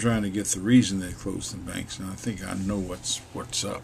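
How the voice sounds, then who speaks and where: A man with an American accent talks at a fairly slow pace with a fairly low pitch and lively intonation. Audible room echo and noticeable background noise are present. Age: 70s. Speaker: video blogger on the economy. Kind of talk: casual monologue.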